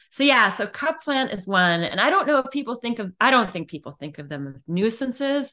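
A woman's pitch swings very widely while she talks at a moderate speed against a quiet background. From US Midwest, Illinois. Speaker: poet and professor. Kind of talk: interview.

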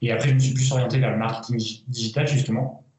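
Through audible room echo, a man at medium pitch talks at a very fast pace. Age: 30s. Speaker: entrepreneur and former elite cyclist. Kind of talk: interview.

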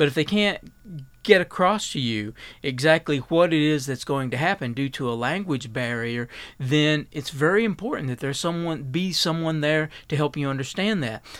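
In an Appalachian accent, a man speaks at a moderate pace with a fairly high pitch. The recording is very clean with a silent background. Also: ordinary pitch variation. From Eastern Kentucky. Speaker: health researcher. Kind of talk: radio interview. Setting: studio.

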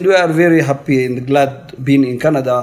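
A man speaks with an Eritrean accent at a moderate pace, keeping his intonation fairly even. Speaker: refugee resident. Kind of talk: interview testimony. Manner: halting.

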